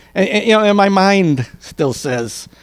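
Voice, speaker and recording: Man with an unremarkable speaking voice and lively intonation at a fairly slow pace. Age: 50s. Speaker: senior softball player. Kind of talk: interview. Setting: at an event with audience.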